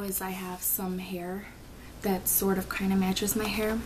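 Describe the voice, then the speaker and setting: Amid noticeable background noise and audible room echo, a woman speaks at a moderate pace and medium pitch with monotone, flat intonation. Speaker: vlogger. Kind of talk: casual vlog monologue. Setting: at home at night. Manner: hesitant, many filler ums.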